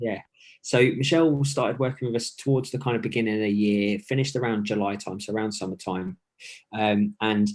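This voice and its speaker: Someone with a British accent speaks at a fairly quick pace with ordinary pitch variation. The recording is very clean, with a silent background. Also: man. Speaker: fitness coach. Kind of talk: live-streamed interview. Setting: home, live video stream. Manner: quiet.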